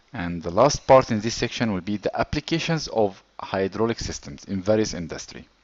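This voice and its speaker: A man with a non-native accent talks at a fairly quick pace with lively intonation and hardly any pauses. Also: fairly low pitch for a man. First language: not English. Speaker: engineering course instructor. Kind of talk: lecture.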